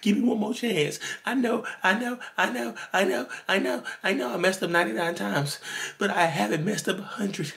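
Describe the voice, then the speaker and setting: A put-on character voice at middle pitch sounds whiny and moves at a fairly quick pace. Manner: begging, pleading, whining.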